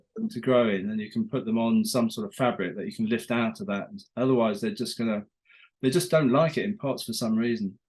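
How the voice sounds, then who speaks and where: A man at a very fast pace, with lively intonation. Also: medium pitch for a man. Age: 60s. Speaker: garden designer. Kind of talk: casual chat. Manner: halting.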